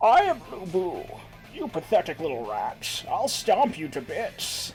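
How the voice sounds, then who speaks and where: A man's high-pitched, put-on character voice with clear music in the background. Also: fairly slow pace. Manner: menacing.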